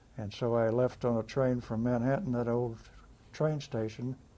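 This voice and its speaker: Speaking with a US Midwestern accent, this voice has a dark, mellow tone, a fairly slow pace and fairly even intonation. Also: man. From Kansas, US Midwest. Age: 80s+. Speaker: navy veteran. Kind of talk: oral history interview. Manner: halting.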